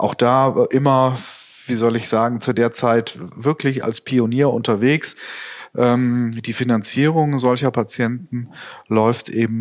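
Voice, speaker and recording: A man with an ordinary speaking voice, medium pitch and fairly even intonation at a fairly slow pace, in a very clean recording with a silent background. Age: 50s. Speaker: nursing company managing director. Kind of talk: interview. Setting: office.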